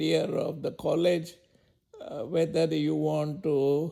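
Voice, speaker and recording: Someone with a Gujarati accent speaks at a very slow pace. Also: man. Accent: Indian (Gujarati). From India, Mumbai. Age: 80s+. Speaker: elderly interviewee. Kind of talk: life story interview. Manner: halting, many hesitations.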